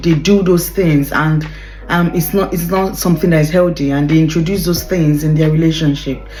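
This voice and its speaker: A woman speaks with a fairly low pitch and fairly even intonation. Noticeable background noise and audible room echo fill the recording. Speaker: relationship advice vlogger. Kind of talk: casual talk to camera. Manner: fast; hesitant, many fillers.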